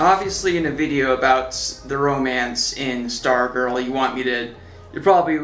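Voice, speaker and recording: Backed by faint music and audible room echo, a man talks at a moderate pace. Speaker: video reviewer. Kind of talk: casual TV show commentary. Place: home room.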